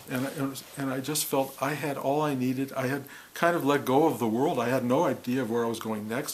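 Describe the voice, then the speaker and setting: With an American accent, a man talks at a fairly quick pace at a medium pitch, his intonation fairly even, over noticeable background noise. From US Midwest, Detroit, Michigan. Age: 70s. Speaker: spiritual teacher. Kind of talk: talk on spiritual experience. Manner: reflective, with some hesitations.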